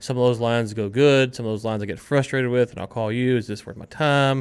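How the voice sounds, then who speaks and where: A man mumbles at a very fast pace. His pitch sits in the medium range, with fairly even intonation. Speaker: podcast co-host. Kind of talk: casual business chat. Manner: talks fast, mumbles; loud talker.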